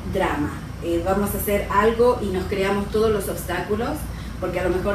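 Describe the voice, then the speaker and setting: Amid noticeable background noise and audible room echo, a woman speaks with monotone, flat intonation. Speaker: radio show guest or co-host. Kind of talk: interview answer. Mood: calm, reflective. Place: studio.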